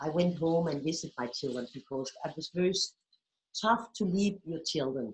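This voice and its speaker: Here is a plain, everyday voice. A woman speaks fairly low at a moderate pace. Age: 60s. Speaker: movement therapy teacher. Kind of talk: interview.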